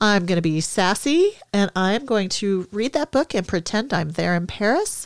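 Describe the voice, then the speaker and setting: A woman with an American accent and a normal speaking voice talks at a moderate pace with lively intonation, very even loudness and hardly any pauses, in a very clean recording that is dry and close with no echo and a silent background. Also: medium pitch for a woman. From Minnesota. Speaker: podcast host, hockey mom. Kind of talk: casual chat.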